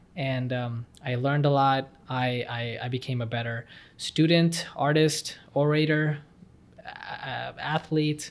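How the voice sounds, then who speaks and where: An ordinary speaking voice with fairly even intonation comes through in a very clean recording with a silent background. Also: man. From Texas. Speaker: medical student. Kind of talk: interview.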